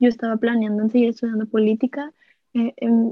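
A woman's monotone, flat delivery at a moderate pace. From Monterrey, northern Mexico. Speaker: student, pageant winner. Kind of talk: casual chat.

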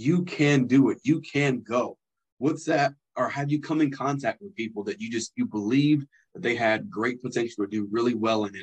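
A man's unremarkable speaking voice, medium in pitch, with lively intonation, a moderate pace, and a dry, close sound with no echo. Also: big swings in loudness. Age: 30s. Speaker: podcast host. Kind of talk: interview.

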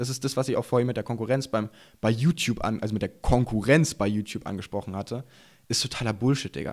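Very fast speech from a man at medium pitch, ordinary in its pitch variation, very cleanly recorded against a silent background. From eastern Germany, Burg near Magdeburg, Saxony-Anhalt. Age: 20s. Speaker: enduro rider and YouTuber. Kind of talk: casual chat. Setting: studio.

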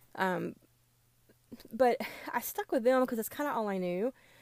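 Lively intonation marks this woman's speech, in a Southern US accent. Her pace is moderate. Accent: Southern American. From US South. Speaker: podcast host. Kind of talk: casual monologue. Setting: recording in a closet. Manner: hesitant, many fillers.

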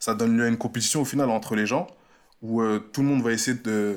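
This is an unremarkable speaking voice from a man at medium pitch, with ordinary pitch variation. He talks at a moderate pace in a very clean recording with a silent background. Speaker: podcast co-host. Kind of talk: casual chat.

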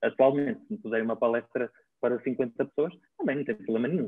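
There is a man speaking at a medium pitch with ordinary pitch variation. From northern Portugal, Baião. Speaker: physiotherapist and traditional Chinese medicine practitioner. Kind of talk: interview conversation.

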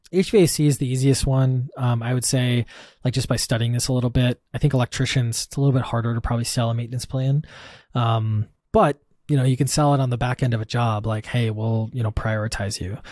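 On a very clean recording with a silent background, a man with an American accent talks very fast at a medium pitch, his voice somewhat breathy and his intonation fairly even. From US Midwest, Wisconsin. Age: 30s. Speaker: software company founder. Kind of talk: casual interview.

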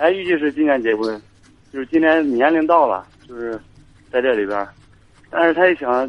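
Speaking at a moderate pace with long, frequent pauses, a man uses lively intonation and fairly high pitch. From rural China. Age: 20s. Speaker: caller, soldier. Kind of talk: call-in radio advice.

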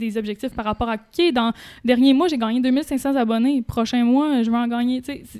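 A woman with a Quebec accent speaks at a moderate pace. Her pitch is high and her intonation fairly even. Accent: Québécois French. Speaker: YouTuber. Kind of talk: casual chat.

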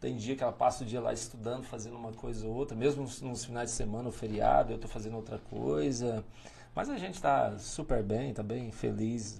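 A man speaks at a fairly quick pace in a dark, mellow tone that is somewhat breathy, with audible room echo. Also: medium pitch for a man, ordinary pitch variation. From Tocantins, Brazil (north-central). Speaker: mayor, former police officer. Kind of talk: interview. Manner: hesitant, many fillers.

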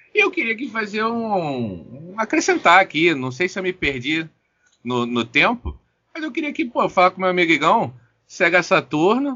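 The man speaks at a moderate pace. His pitch swings very widely. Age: 30s. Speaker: podcast co-host. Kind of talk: casual chat.

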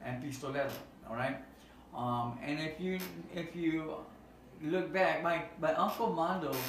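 Ordinary pitch variation amid noticeable background noise and audible room echo. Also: man. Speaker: nonprofit youth outreach worker. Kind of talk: casual chat. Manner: halting. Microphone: no microphones, camera audio.

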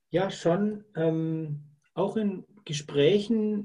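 The tone is dark and mellow. It belongs to a man who is talking. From Lake Constance region, southern Germany. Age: 50s. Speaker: salesperson. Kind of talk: interview. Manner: hesitant with frequent fillers.

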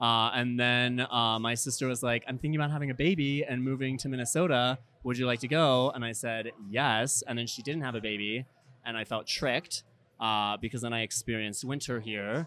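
A man at medium pitch with a bright, sharp tone, fairly even intonation and a fairly quick pace. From Pennsylvania, rural. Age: 30s. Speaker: dating show contestant. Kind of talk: casual chat. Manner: halting, many fillers.

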